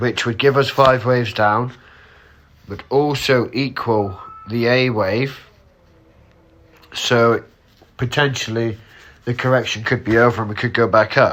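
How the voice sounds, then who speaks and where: Over noticeable background noise, a man with a medium pitch and fairly even intonation talks at a fairly slow pace with long, frequent pauses. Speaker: trading analyst. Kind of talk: tutorial. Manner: casual.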